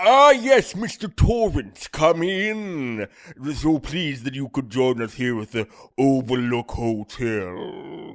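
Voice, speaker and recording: A man puts on a character voice at a medium pitch, his pitch swinging very widely. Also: fairly slow pace. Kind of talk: comic overacting. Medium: comedy sketch. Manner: smooth, ingratiating.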